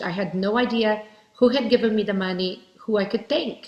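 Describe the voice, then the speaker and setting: Using a Portuguese accent, a woman talks at a moderate pace. Her pitch is medium and its variation ordinary. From Brazil. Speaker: keynote speaker, direct sales leader. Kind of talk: keynote speech.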